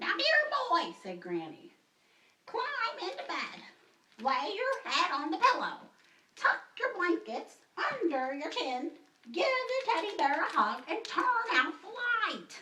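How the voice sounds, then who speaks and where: In a cartoonish character voice at an extremely high pitch, the speaker makes very wide pitch swings at a fairly slow pace with long, frequent pauses. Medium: puppet.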